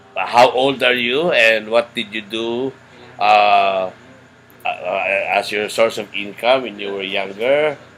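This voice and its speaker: Over noticeable background noise, a man speaks at a very slow pace and medium pitch, with ordinary pitch variation and big swings in loudness. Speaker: interviewer, foundation founder. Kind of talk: interview.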